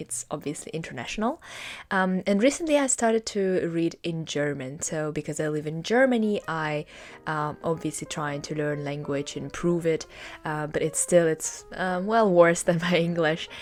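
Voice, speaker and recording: With a Russian accent, a woman speaks at a moderate pace. Her pitch is fairly low, with ordinary variation. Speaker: booktuber. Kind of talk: casual vlog talk. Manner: hesitant, many fillers.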